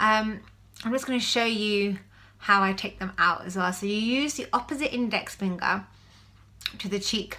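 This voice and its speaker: Pausing long and often, a woman speaks in a bright, sharp tone at medium pitch and a moderate pace with ordinary pitch variation. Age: 30s. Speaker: vlogger. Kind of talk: casual video diary. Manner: hesitant with fillers.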